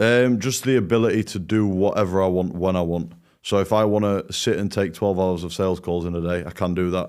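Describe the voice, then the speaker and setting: A man with a British accent and a very deep, low voice, fairly quick delivery with hardly any pauses, on a very clean recording with a silent background. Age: 20s. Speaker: agency owner, program student. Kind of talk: testimonial interview. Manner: enthusiastic.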